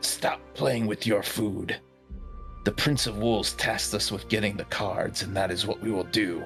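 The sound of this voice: A man uses a put-on character voice, guttural and at a fairly low pitch, at a moderate pace. Clear music plays in the background.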